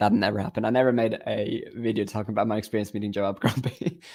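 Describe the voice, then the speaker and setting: On a very clean recording with a silent background, a man speaks very fast in a medium-pitched, dark, mellow tone. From Faroe Islands. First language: Faroese. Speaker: book YouTuber. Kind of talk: live stream reaction.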